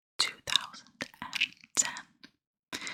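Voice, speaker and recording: Whispering at a very slow pace in a calm, soothing tone. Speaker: ASMR content creator. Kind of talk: whispered true crime ASMR storytelling. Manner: whispered, calm, soothing.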